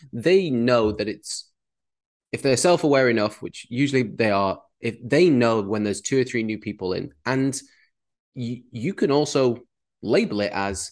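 A man speaks with a British accent against a quiet background. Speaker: podcast co-host and coach. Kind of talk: casual podcast conversation.

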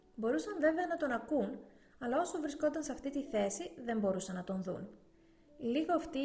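The speech moves at a moderate pace with lively intonation over noticeable background noise. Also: woman. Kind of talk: audiobook reading aloud of a novel, steady literary narration. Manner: even, measured, narrator-like delivery with little change in tone.

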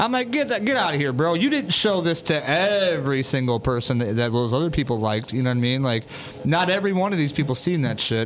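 Amid noticeable background noise, a man in an American accent races along at a very fast pace, his loudness very even and his pitch swinging very widely. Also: fairly high pitch for a man. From US. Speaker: livestream host. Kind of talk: casual chat. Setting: studio. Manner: animated.

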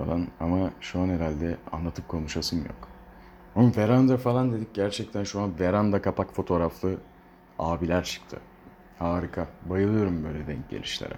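A man talks at a moderate pace in a very deep, low voice, his pitch varying in an ordinary way. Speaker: solo podcaster. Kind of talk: casual solo monologue. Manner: rambling, hesitant with fillers. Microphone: poor sound quality, no proper equipment.

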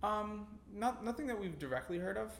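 A man talks at a fairly quick pace. Audible room echo can be heard around his voice. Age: 20s. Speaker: student housing company founder. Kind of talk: casual chat. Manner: halting, many fillers.

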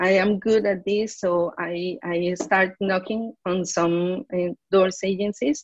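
A woman speaks with a Spanish accent. Her pace is very slow. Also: medium pitch for a woman, ordinary pitch variation. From Colombia. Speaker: advertising professional. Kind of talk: interview. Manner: halting, many repetitions.

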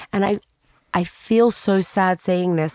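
Recorded with a dry, close sound and no echo, a woman speaks at medium pitch. She has an Australian accent. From Sydney, Australia. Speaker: podcast host and history teacher. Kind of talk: interview questions, emotional conversation. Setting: in person, sitting across from the guest.

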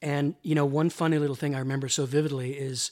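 At a fairly quick pace, a man speaks in a normal speaking voice with a fairly high pitch and fairly even intonation. The recording is very clean, with a silent background. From Canada. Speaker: entertainment journalist. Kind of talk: casual interview. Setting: host's apartment.

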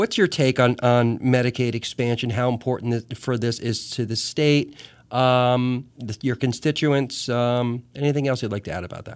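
A man with an American accent, an ordinary speaking voice, medium pitch, moderate pace, fairly even intonation and hardly any pauses, on a very clean recording with a silent background. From US Northeast. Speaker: radio host. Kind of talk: radio interview. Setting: radio studio.

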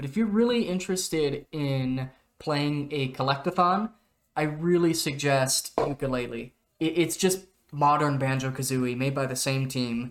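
Here is an ordinary speaking voice, a man's with an American accent and a fairly high pitch. He speaks at a fairly slow pace with ordinary pitch variation. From US, Oregon. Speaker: video game podcast co-host. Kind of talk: casual chat.

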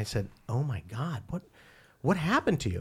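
The background is silent, and the recording is very clean. A man's voice comes through somewhat breathy. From Philippines (Manila). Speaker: psychiatrist and addiction specialist. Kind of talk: casual interview. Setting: studio. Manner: halting, many fillers and repeats.

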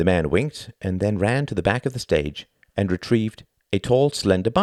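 Quiet background throughout. It is a natural reading voice.

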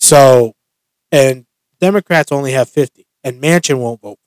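An ordinary speaking voice from a man with an American accent, fairly high-pitched with ordinary pitch variation, at a moderate pace, with big swings in loudness and a dry, close sound with no echo. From US Northeast (rural western Massachusetts). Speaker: podcast host. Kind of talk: casual chat.

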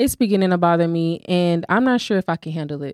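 In a normal speaking voice, a woman speaks at a moderate pace with a fairly low pitch and ordinary pitch variation. The recording is very clean, with a silent background. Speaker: podcast co-host and small business owner. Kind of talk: casual chat.

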